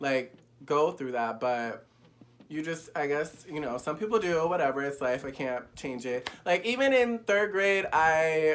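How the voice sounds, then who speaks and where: A man speaks in an animated tone with lively intonation. His pitch is fairly high and his pace fairly slow. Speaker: YouTuber. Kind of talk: casual candid vlog. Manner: flamboyant.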